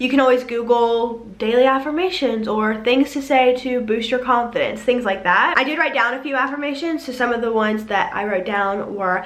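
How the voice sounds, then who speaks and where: An American accent at a moderate pace, with ordinary pitch variation, hardly any pauses and noticeable background noise. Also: woman, high pitch for a woman. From South Carolina. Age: 20s. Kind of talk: motivational talk to camera.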